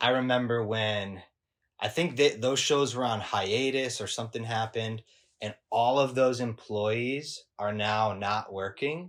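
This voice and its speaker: A man with an American accent and an unremarkable speaking voice, medium-pitched with ordinary pitch variation, at a fairly slow pace on a very clean recording with a silent background. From Michigan, US Midwest. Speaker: cinematographer. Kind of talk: casual chat.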